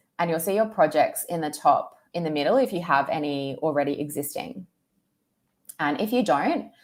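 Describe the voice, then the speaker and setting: A woman's fairly low-pitched, plain, everyday voice at a moderate pace, with lively intonation. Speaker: tech speaker giving a demo. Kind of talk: tutorial.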